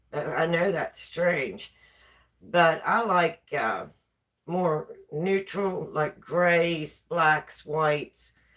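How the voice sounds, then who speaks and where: Speaking at a very slow pace, a woman with a fairly low pitch uses fairly even intonation in a West Virginia accent. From West Virginia, rural. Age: 60s. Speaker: live streamer. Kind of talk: casual chat. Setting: home kitchen live stream.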